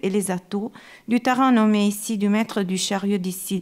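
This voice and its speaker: With an Italian accent, the speaker talks at a fairly slow pace and with fairly even intonation on a very clean recording with a silent background. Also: woman. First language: Italian (speaking French). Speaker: art historian. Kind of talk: lecture. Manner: halting.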